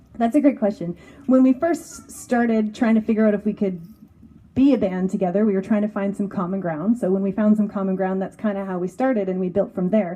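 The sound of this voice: A woman speaks at a fairly quick pace and medium pitch, her tone dark and mellow, her intonation fairly even.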